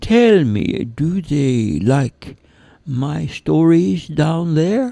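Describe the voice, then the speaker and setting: A put-on character voice moves along at a very slow pace. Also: man, fairly high pitch for a man. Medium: read story. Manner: slow, gentle.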